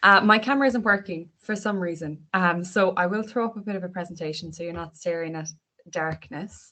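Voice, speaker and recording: Speaking fairly quickly in an Irish accent, a woman uses a medium pitch with ordinary pitch variation and big swings in loudness. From Ireland, Irish-speaking family. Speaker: health service training officer. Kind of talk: online panel presentation. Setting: video call.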